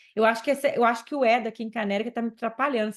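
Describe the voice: In a hoarse, put-on character voice, a woman speaks at a very fast pace and a fairly high pitch with monotone, flat intonation.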